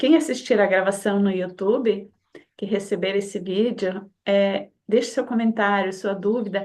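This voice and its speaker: This woman has an ordinary speaking voice, with ordinary pitch variation and a moderate pace. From Brazil. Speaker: community host. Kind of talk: online community talk introduction.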